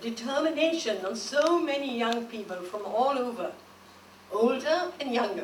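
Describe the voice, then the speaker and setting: A woman talks with lively intonation at a moderate pace over noticeable background noise. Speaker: war veteran. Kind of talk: public lecture address. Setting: museum lecture hall.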